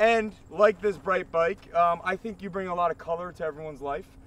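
Talking at a moderate pace in a high voice, a man shows ordinary pitch variation in a dry sound with no echo. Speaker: web show host. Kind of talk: playful presentation to a guest. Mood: jokey, upbeat. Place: open country.

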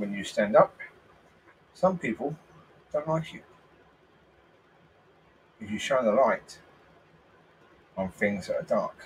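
A man with a British accent talks at a fairly slow pace, leaving long, frequent pauses. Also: big swings in loudness. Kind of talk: religious and political commentary.

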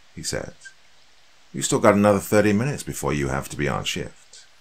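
Vocal fry at a moderate pace. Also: man. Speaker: horror story narrator. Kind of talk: scripted horror narration. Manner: hushed, tense, suspenseful; measured, dramatic pacing. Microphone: studio mic.

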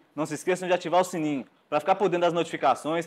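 Speaking very fast, a man uses a high pitch. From Brazil. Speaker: podcast host. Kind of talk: casual chat; podcast intro and interview question. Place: studio. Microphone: lapel.

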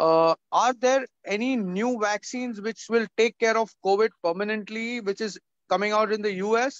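A man at a high pitch and moderate pace, with ordinary pitch variation, a quiet background and a dry sound with no echo. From India. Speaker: panel moderator. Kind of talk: online panel discussion. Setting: video call. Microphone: video call.

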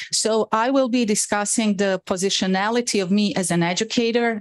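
A woman with a Bosnian accent, medium pitch, ordinary pitch variation and a moderate pace, over a quiet background. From Bosnia and Herzegovina. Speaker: professor. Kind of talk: lecture. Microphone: video call.

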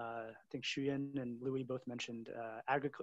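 A man speaks with an American accent in a monotone, flat intonation. The sound is dry with no echo against a quiet background. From US. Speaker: venture capital investor; webinar panelist. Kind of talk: panel discussion. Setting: video call. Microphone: video call.

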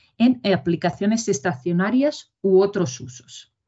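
Against a quiet background, a woman talks at a fairly slow pace. Her somewhat breathy voice moves in very wide pitch swings. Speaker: project lead presenter. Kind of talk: technical presentation. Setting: video call. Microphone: video call.

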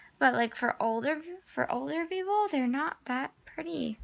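A woman at a moderate pace, with very wide pitch swings and a quiet background. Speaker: vlogger. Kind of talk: casual vlog. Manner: hesitant, many fillers. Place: home room. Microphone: phone near.

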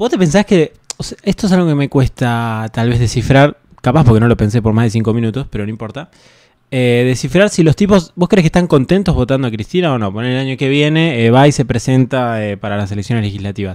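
Recorded dry with no echo against a quiet background, a man with a medium pitch speaks with lively intonation. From Argentina. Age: 20s. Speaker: streamer and interviewer; streamer, interviewer. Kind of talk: casual livestream interview. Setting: livestream. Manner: hesitant, many fillers like eh and tipo. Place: home room. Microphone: studio mic.

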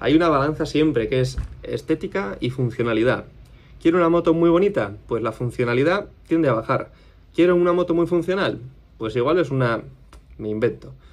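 A man with a Spanish accent talks at a fairly quick pace, his fairly high pitch carried by lively intonation. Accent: Spain Spanish. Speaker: custom motorcycle workshop owner. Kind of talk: casual vlog monologue. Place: office. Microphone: phone near.

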